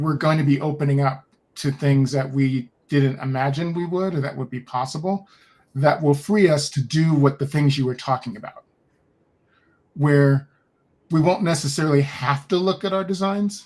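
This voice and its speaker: Here a man talks at a moderate pace in a fairly high, somewhat breathy voice. His pitch varies in an ordinary way. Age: 60s. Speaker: podcast guest, human design practitioner. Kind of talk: casual conversation.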